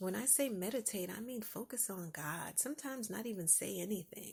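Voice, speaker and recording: A woman speaks at a fairly slow pace in a relaxed, calm tone, with lively intonation and vocal fry. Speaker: podcast host. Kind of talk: casual podcast monologue. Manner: soft-spoken.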